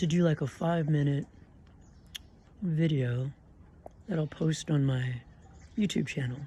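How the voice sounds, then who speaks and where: Long pauses come often, and the overall pace is fairly slow. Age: 60s. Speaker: vlogger. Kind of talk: casual monologue vlog.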